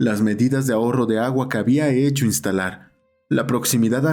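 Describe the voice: There is plain reading aloud, and the background is quiet.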